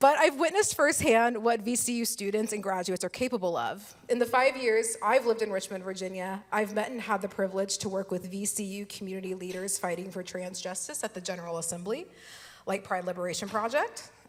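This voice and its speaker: A woman with a plain, everyday voice and an American accent talks fairly quickly at a medium pitch, with ordinary pitch variation. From Texas. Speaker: lawyer, keynote speaker. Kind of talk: keynote speech. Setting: stage with audience.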